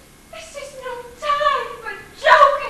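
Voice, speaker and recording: A woman does a squeaky, put-on character voice at an extremely high pitch. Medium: stage play. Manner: insistent.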